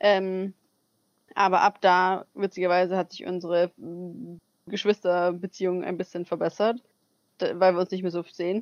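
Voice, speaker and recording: A medium-pitched woman speaks in a flat monotone at a moderate pace with long, frequent pauses and big swings in loudness, recorded dry and close with no echo. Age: 20s. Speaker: podcast co-host, au pair. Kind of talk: casual chat. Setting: video call.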